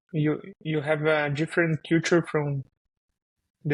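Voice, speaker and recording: A somewhat breathy man speaks fairly slowly with a Brazilian Portuguese accent, a fairly high pitch and monotone, flat intonation. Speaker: software developer. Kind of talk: podcast interview. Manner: halting, many fillers.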